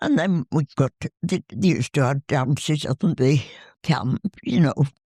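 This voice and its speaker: Dry and close with no echo, the voice is somewhat breathy and dark, mellow in tone, moving at a moderate pace with lively intonation. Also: woman, very deep, low pitch for a woman. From northern England. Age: 80s+. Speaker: war veteran. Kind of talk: interview.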